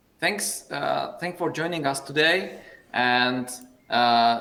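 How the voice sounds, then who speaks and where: A man with a Czech accent, very slow pace and lively intonation, with audible room echo. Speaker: meetup host. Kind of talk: event moderation.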